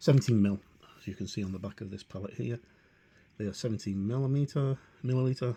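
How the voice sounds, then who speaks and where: A man with a dark, mellow, somewhat breathy tone speaks very fast at a medium pitch, his loudness swinging widely. His speech is broken by long, frequent pauses. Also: ordinary pitch variation. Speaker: miniature painter. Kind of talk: painting tutorial talk. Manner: hesitant, many fillers.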